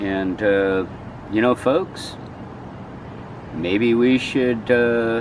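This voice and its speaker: Noticeable background noise around a man's voice at medium pitch. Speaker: local activist video host. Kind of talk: casual chat. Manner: loud.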